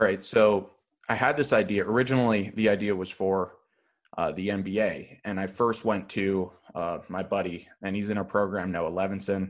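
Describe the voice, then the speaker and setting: The man has a plain, everyday voice, fairly low in pitch, at a moderate pace. His intonation is fairly even, and the background is quiet. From Canada, Toronto suburbs (Thornhill). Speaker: comedian and sports podcaster. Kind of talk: casual chat.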